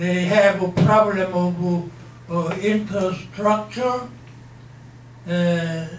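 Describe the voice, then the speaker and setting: Someone speaks at a very slow pace in a room with audible echo and light background noise. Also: man, high pitch for a man, ordinary pitch variation. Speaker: interviewee. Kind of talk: interview answer. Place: meeting room.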